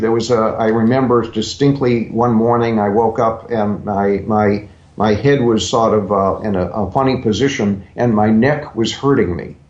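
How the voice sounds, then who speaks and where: Amid audible room echo, a man of medium pitch speaks at a moderate pace with ordinary pitch variation and hardly any pauses. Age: 70s. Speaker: health author. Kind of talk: interview. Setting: radio show.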